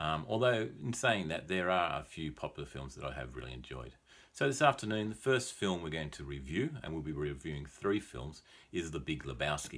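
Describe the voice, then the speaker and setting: This man's pitch is very deep and low, his tone relaxed, with vocal fry. His loudness swings widely and his pitch swings very widely. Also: fairly quick pace. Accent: Australian. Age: 40s. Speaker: English teacher. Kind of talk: film review talk for English learners. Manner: relaxed, hesitant with many fillers.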